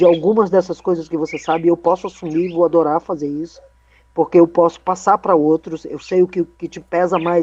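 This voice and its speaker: A woman talks fairly quickly in a fairly low pitch with a dark, mellow tone and monotone, flat intonation. Her loudness swings widely, and the sound is dry and close with no echo. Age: 60s. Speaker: tap dance company director. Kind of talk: online meeting discussion.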